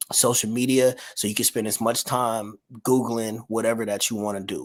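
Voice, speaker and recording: Here a man speaks at a medium pitch. His intonation is monotone and flat. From Detroit, Michigan. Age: 30s. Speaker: filmmaker and entrepreneur. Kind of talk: casual interview chat. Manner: fast.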